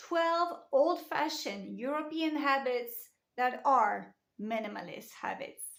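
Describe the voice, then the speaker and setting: In a French accent, a woman speaks at a high pitch with lively intonation. Her pace is very slow. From France. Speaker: lifestyle vlogger. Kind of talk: casual talk to camera.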